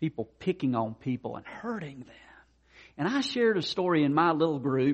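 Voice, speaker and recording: Using a normal speaking voice, a man talks fairly quickly at a fairly high pitch, with lively intonation and big swings in loudness. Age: 50s. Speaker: pastor. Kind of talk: sermon.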